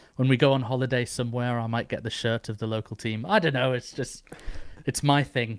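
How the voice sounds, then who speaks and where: Here a man talks at a fairly quick pace with an English accent. His intonation stays fairly even. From northeast England. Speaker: podcast host. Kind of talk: interview.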